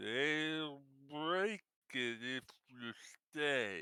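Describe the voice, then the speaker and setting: A raspy, put-on character voice. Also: man. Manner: warning, halting.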